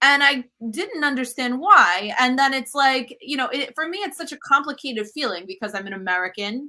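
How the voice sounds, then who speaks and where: A raised, projected voice with a bright, sharp tone and a non-native accent, very wide pitch swings, a fairly quick pace and hardly any pauses. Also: woman, high pitch for a woman. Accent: has an accent in English. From US Northeast, Brooklyn New York. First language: Italian. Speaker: cookbook author and cooking show host. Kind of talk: interview conversation.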